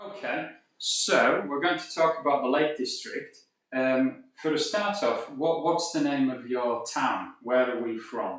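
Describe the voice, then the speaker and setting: A man's fairly high voice in a Cumbrian accent, fairly slow, with ordinary pitch variation. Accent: Cumbrian but quite clear. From northern England, Cumbria (Carlisle). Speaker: language teacher. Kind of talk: casual interview. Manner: clear, careful.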